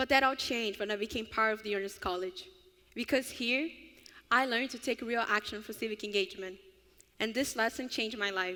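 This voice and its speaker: A woman with a Brazilian Portuguese accent talks at a fairly quick pace, fairly high in pitch with ordinary variation and a bright, sharp tone. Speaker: honors college student. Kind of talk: student speech at ceremony.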